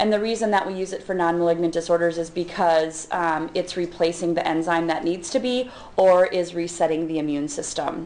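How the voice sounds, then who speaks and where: Amid noticeable background noise and audible room echo, a woman speaks at a fairly quick pace and a fairly low pitch, with fairly even intonation and hardly any pauses. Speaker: physician and professor. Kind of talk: lecture.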